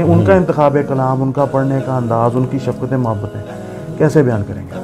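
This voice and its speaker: Clear music plays in the background behind a man. His pitch varies in an ordinary way. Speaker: interviewer. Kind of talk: interview questions. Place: home room. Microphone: lapel.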